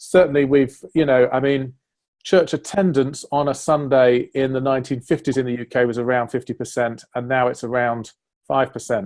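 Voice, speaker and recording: A man speaks with an English accent at a moderate pace. His medium-pitched voice has fairly even intonation. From northern England, Sheffield. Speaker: church leader. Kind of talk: interview conversation.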